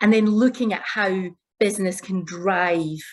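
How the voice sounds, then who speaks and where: The speaker talks at a fairly slow pace. The accent is Glaswegian. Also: woman. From Scotland, Glasgow. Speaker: corporate executive. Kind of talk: panel discussion opening remarks.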